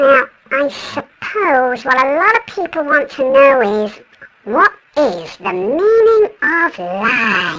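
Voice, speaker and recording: Very slow and high, this put-on character voice swings very widely in pitch. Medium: comedy sketch. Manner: brisk, deadpan.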